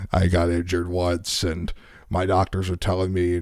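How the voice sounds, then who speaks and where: A man's very deep, low voice in a monotone, flat delivery, recorded very cleanly against a silent background. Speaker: talk show host. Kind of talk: casual chat. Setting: studio. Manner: loud.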